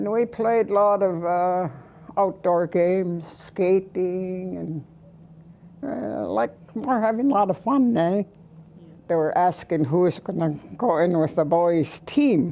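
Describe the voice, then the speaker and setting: A woman's dark, mellow voice at a very slow pace, with lively intonation. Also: medium pitch for a woman. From British Columbia, Canada. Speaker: residential school survivor. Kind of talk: testimony. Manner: halting.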